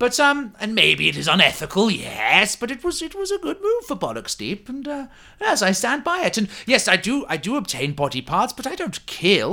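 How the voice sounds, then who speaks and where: A put-on character voice sits at a fairly high pitch. Its tone is pompous. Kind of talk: comic fantasy roleplay. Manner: pompous, fussy, genteel.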